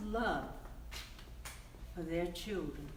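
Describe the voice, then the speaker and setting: With an American accent, a woman's voice makes very wide pitch swings over noticeable background noise. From Colorado. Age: 80s+. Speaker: storyteller. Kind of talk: storytelling to children.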